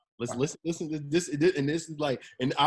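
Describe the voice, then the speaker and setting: A man with an American accent at a very fast pace. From New Jersey, Monmouth County (Long Branch). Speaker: clothing brand founder. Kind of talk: interview.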